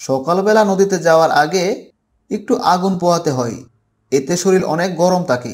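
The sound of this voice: A man speaks at a fairly slow pace, his high voice moving with ordinary pitch variation. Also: slightly mellow tone.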